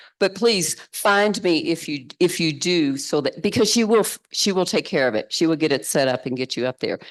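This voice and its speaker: A woman with a Kentucky accent speaks with lively intonation. The background is quiet. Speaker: synod participant making announcements. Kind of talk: announcements.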